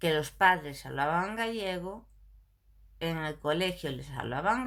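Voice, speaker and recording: Fairly low-pitched woman's voice in a Galician accent, ordinary pitch variation, audible room echo. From Galicia, Spain. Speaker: video blogger. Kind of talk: casual monologue to camera. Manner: animated.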